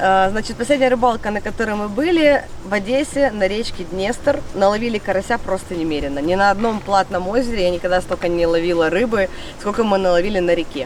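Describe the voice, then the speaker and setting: There is noticeable background noise. Through it, a woman speaks with lively intonation. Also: medium pitch for a woman. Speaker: fishing vlogger. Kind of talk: vlog talk to camera. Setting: outdoors by a lake. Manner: animated.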